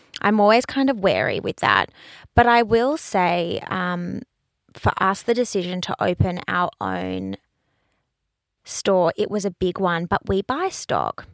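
Recorded very clean against a silent background with a dry, close sound and no echo, a woman speaks at a fairly slow pace with an Australian accent. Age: 30s. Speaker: fashion business owner and brand ambassador. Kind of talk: casual interview.

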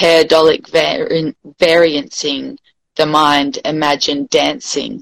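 A woman with an Australian accent, very deep and low in pitch, at a very slow pace, in a dry, close sound with no echo. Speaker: poet. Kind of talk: poetry reading.

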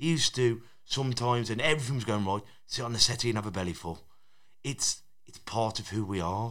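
A man with a normal speaking voice talks at a fairly quick pace and medium pitch, with ordinary pitch variation. His loudness swings widely on a very clean recording with a silent background. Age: 30s. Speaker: boxing coach and podcaster. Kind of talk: casual chat.

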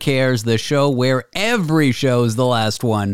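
The tone is energetic. Pitch variation is ordinary. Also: man. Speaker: show host, former radio host. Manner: energetic, self-deprecating host patter.

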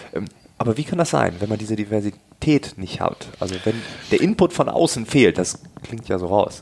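A man talks in a plain, everyday voice at a moderate pace. His pitch is fairly low and his intonation lively. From East Frisia, northern Germany. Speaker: podcast host. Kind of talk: interview.

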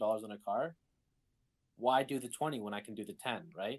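Ordinary pitch variation from a man, at a moderate pace. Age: 20s. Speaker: podcast guest. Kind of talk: casual chat.

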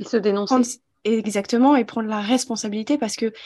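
Her tone dark and mellow, a woman talks at a very fast pace. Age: 20s. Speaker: holistic therapist and mentor. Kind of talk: personal testimony interview.

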